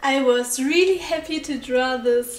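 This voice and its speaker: A woman with a non-native accent talks at a fairly slow pace in a high pitch. Music plays in the background, and the room echo is audible. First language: not English. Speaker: digital artist. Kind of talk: voiceover art talk over speedpaint.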